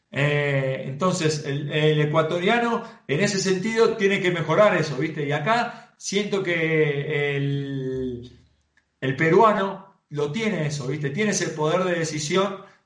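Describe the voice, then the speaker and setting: Audible room echo follows a man speaking at a fairly slow pace. His pitch is fairly high, with ordinary pitch variation. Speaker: professional footballer. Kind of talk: casual interview.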